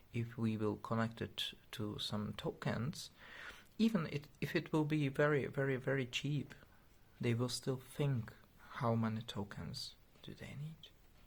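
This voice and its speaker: Somewhat breathy and at a fairly slow pace, a man with a non-native accent is heard on a very clean recording with a silent background. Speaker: tech project developer. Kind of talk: casual video explanation. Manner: halting, many fillers.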